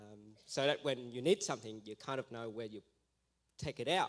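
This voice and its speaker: At a medium pitch, a man talks with an Australian accent. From Vietnam. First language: Vietnamese. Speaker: missionary. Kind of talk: testimony. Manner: halting.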